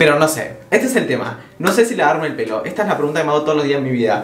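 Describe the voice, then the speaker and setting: A man speaks with audible room echo around him. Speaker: vlogger. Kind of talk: casual vlog chat.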